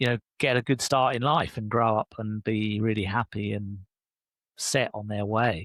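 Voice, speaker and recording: A man's fairly low voice at a moderate pace, with fairly even intonation, in a dry, close sound with no echo and a very clean recording over a silent background. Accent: British. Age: 60s. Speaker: leadership coach and author. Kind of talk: podcast interview.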